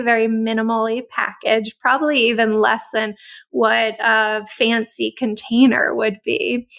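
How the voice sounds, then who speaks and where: Enthusiastic tone from a woman, fairly high-pitched, at a moderate pace. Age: 40s. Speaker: podcast host, former corporate executive. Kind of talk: guided meditation; interview conversation.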